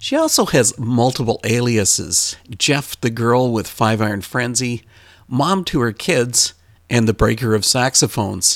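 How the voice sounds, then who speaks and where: A man with an unremarkable speaking voice talks at a medium pitch and a fairly slow pace, his loudness very even, in a very clean recording with a silent background. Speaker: podcast host. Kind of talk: interview.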